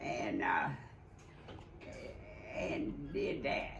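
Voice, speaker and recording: A woman talks at a very slow pace. Noticeable background noise runs beneath her voice. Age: 80s+. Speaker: retired oil and gas office worker. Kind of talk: interview answer. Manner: halting, hesitant.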